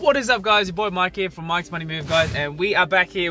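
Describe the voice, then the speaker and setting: This man talks at a very fast pace in a raised, projected voice. The sound is dry with no echo, and faint music plays in the background. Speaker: vlogger. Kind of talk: casual vlog chat. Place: car. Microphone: phone near.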